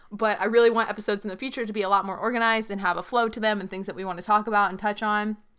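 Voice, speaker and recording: Talking at a very fast pace with hardly any pauses, a woman uses a fairly high pitch and a monotone, flat intonation while her loudness swings widely. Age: 20s. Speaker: YouTuber and podcast co-host. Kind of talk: casual chat.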